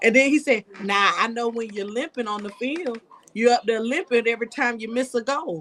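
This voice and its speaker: Noticeable background noise behind a woman speaking at a moderate pace, her pitch fairly high and ordinarily varied. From US South, rural Georgia (Coffee County, Douglas). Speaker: local political candidate. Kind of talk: testimony in a live-stream chat. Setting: live stream.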